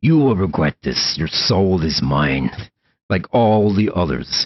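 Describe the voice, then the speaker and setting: A put-on character voice, guttural and menacing in tone, moves at a fairly slow pace. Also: man, very deep, low pitch for a man. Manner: menacing, hissing.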